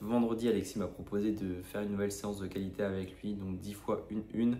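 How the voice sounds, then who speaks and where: In audible room echo, a man with a fairly low pitch and a dark, mellow tone talks at a very fast pace in a flat monotone. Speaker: running vlogger. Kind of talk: vlog. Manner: hesitant, many filler sounds.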